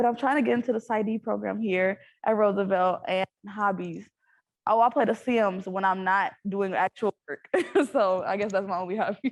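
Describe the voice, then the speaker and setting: A woman of medium pitch talks at a moderate pace with ordinary pitch variation. The sound is dry and close with no echo, over a quiet background. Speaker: psychology student. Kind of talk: panel self-introduction. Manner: loud.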